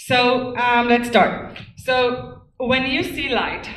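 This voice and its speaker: A woman with a non-native accent, in audible room echo. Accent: noticeable foreign. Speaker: activist speaker on wireless radiation. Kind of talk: lecture. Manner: hesitant, many ums.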